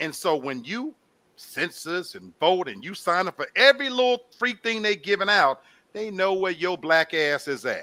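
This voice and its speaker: Raising and projecting his voice, a man with a Southern US accent speaks at a high pitch and a moderate pace, his tone bright and sharp and his intonation lively. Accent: sounds like a Southern good old boy. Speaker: talk show co-host. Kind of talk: casual panel discussion.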